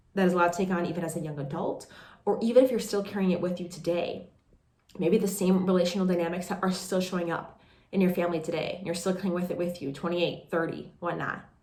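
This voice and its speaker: A woman's somewhat breathy, fairly low-pitched voice at a very fast pace with fairly even intonation. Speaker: life coach and podcast host. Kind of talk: podcast monologue, casual talk to camera. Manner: warm, conversational, validating.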